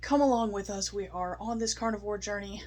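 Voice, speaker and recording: Her voice shaky, a woman talks at a fairly quick pace. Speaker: food review vlogger. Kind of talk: casual vlog review. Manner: shaky voice; animated.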